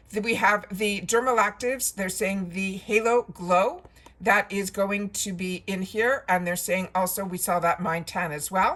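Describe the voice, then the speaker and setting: Putting on a raspy character voice at a medium pitch, a woman speaks at a moderate pace. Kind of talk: casual, informal.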